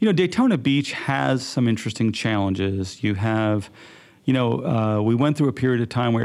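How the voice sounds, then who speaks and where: A man talks at a fairly quick pace in a medium-pitched voice. He has a plain, everyday voice with ordinary pitch variation. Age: 60s. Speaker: podcast host. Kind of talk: interview.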